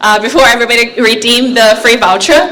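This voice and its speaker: With a slight Singaporean accent and a fairly high pitch, a woman speaks amid noticeable background noise and audible room echo. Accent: slight Singlish. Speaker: AI company representative. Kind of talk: conference talk. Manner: hesitant, many fillers.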